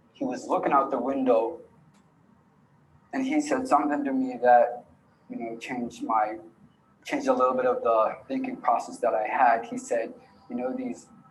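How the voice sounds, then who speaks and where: A man speaks at a moderate pace with long, frequent pauses, and audible room echo can be heard. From Alaska, Yupik community. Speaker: youth storyteller and rapper. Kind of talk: presentation of own film.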